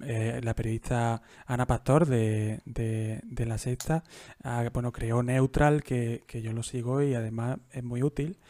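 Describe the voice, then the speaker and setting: A man at a very slow pace with fairly even intonation, in a dry, close sound with no echo and a very clean recording with a silent background. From Andalusia, Jaén. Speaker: podcast host. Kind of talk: casual interview.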